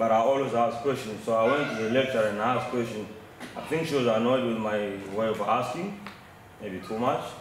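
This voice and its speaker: Speech comes at a fairly quick pace with ordinary pitch variation, over noticeable background noise and audible room echo. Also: man. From DR Congo. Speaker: mining engineer. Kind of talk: audience question. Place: meeting room. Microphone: camera far.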